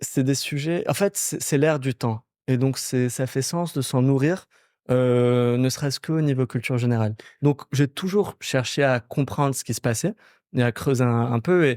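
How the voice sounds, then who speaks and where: In a plain, everyday voice with ordinary pitch variation, the speaker goes at a fairly slow pace on a very clean recording with a silent background. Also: man, medium pitch for a man. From Morocco, Casablanca. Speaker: startup founder. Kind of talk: podcast interview.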